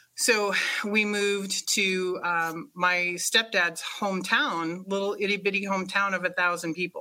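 A woman with an American accent speaks at a moderate pace and a medium pitch. Her tone is bright and sharp, with ordinary pitch variation. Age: 50s. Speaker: healer. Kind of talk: casual interview.

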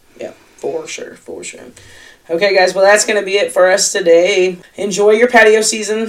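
The loudness swings widely while the intonation stays fairly even. Delivered at a moderate pace, it has noticeable background noise. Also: woman, medium pitch for a woman. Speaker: restaurant industry podcast co-host. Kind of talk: casual chat.

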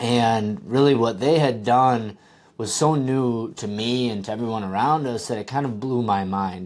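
At a moderate pace, a man talks with ordinary pitch variation. His pitch is medium. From Wisconsin, US. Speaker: podcast host, drone industry entrepreneur. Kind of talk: casual solo monologue.

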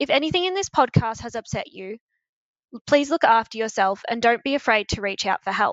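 Lively in its intonation, the delivery goes at a fairly quick pace. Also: woman, fairly high pitch for a woman. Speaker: podcast host. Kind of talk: scripted intro with casual interview. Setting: shared office, recorded together.

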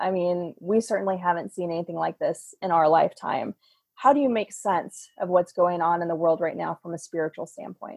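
This woman speaks with a fairly low pitch and ordinary pitch variation. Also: fairly quick pace. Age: 40s. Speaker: podcast host. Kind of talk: interview conversation.

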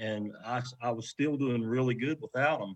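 With an Appalachian accent, a man talks in a fairly even intonation. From West Virginia. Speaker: professional kayak angler. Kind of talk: casual chat.

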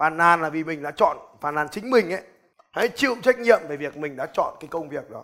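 A man speaks at a moderate pace in an animated tone with ordinary pitch variation. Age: 30s. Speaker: business coach and motivational speaker. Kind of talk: motivational seminar talk.

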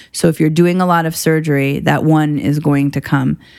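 A woman's very deep, low voice, fairly quick in pace, with fairly even intonation. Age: 30s. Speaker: gynecologic surgeon. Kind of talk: interview.

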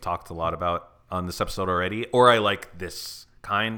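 In a very clean recording with a silent background, a man with an American accent speaks at a moderate pace in a very deep, low pitch, with a bright, sharp tone and fairly even intonation. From Arizona. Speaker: podcast host. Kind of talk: casual chat.

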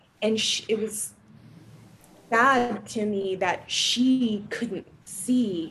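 A woman speaks very slowly at a fairly high pitch with fairly even intonation. Noticeable background noise runs underneath. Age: 40s. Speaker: embodiment practitioner. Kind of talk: casual chat.

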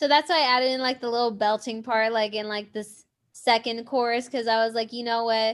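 A woman's ordinary speaking voice in an American accent, fairly high in pitch, fairly quick in pace and fairly even in intonation, against a quiet background. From Southern California. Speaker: indie rock songwriter. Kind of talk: casual interview.

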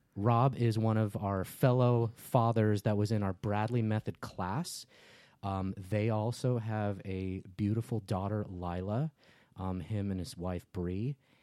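Heard in a very clean recording with a silent background, a man with an American accent speaks at a fairly slow pace, his voice fairly low in pitch with a dark, mellow tone. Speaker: podcast host.

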